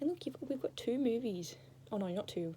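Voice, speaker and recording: This woman's delivery moves along fairly quickly. A somewhat breathy quality runs through her voice. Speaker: vlogger. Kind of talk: casual chat. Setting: indoors under a blanket fort. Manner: rambling, tangential.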